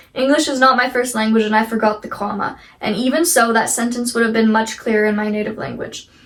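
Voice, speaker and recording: Through noticeable background noise, a woman speaks very fast with hardly any pauses, at a fairly high pitch and with fairly even intonation. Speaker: YouTuber reading online stories. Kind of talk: reading aloud. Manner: expressive, emphatic reading.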